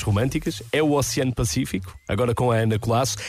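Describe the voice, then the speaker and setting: Somewhat breathy, a man speaks at a very fast pace with medium pitch and ordinary pitch variation. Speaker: radio host. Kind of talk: radio chart show presenting. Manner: animated.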